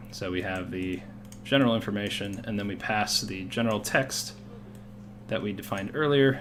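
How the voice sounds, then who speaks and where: Fairly even in intonation, a man with a fairly low voice speaks amid noticeable background noise and audible room echo. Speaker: game modding tutorial creator. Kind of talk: tutorial. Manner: fast.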